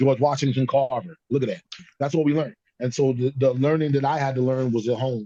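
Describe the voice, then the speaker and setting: A man's dark, mellow tone at a very fast pace, with fairly even intonation. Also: medium pitch for a man. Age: 60s. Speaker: podcast panelist. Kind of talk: casual chat.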